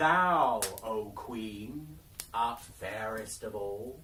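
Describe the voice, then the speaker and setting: A put-on character voice from a man at medium pitch, very slow pace and audible echo. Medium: read story. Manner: solemn, formal.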